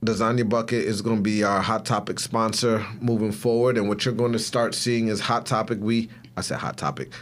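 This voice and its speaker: Hardly pausing, a man with a normal speaking voice talks at a fairly quick pace and a medium pitch. His intonation is fairly even and his loudness very even. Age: 30s. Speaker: podcast co-host. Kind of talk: casual chat.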